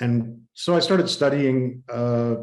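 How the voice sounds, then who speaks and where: A man's dark, mellow tone sits at a medium pitch, in an American accent. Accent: very American. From USA, born New Haven, Connecticut. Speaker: innovation strategist and creativity coach. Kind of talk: podcast interview.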